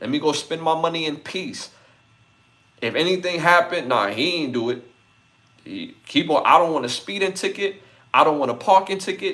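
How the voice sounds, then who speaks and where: A man with lively intonation and an animated tone, high in pitch, at a moderate pace with long, frequent pauses. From New York City (Brooklyn). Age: 40s. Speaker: podcast host. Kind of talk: casual chat.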